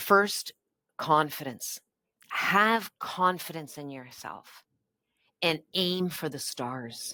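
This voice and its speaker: On a very clean recording with a silent background, a woman with a Canadian accent speaks at a very slow pace and a very deep, low pitch, using a bright, sharp tone, lively intonation, big swings in loudness and long, frequent pauses. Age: 60s. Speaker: politician. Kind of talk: interview.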